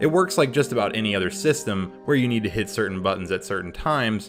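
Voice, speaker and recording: A man talks at a very fast pace with very wide pitch swings. Music plays in the background. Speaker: game reviewer. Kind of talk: video game review narration. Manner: casual.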